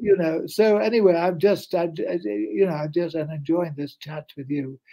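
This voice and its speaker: With lively intonation and big swings in loudness, a man talks at a moderate pace in a high pitch for a man. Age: 80s+. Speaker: author. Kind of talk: interview. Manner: animated.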